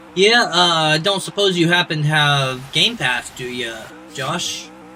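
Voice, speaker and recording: A man speaks at a very slow pace and a fairly high pitch with lively intonation. Noticeable background noise runs beneath him. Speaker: gaming streamer. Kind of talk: casual chat. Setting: live stream.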